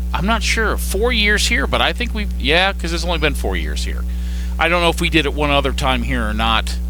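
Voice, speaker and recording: Fairly quick, monotone speech with flat intonation, audible room echo and music in the background. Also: man, very deep, low pitch for a man. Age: 60s. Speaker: radio station general manager and producer. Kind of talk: casual chat. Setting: on location at a pizza restaurant.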